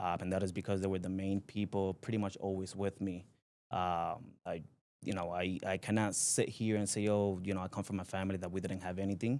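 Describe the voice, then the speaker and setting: In a Spanish accent, a man with a very deep, low pitch talks in a monotone, flat intonation on a very clean recording with a silent background. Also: fairly quick pace. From Puerto Rico (Aguas Buenas). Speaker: company president, entrepreneur. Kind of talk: podcast interview. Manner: halting, many fillers.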